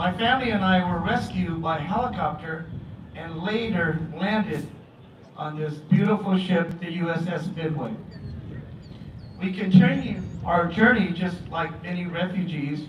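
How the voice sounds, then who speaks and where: A man's high voice at a fairly slow pace, with long, frequent pauses and ordinary pitch variation, amid audible room echo and noticeable background noise. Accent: American. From Vietnam, raised in southern California. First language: Vietnamese. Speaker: elected official, former refugee. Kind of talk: commemorative speech.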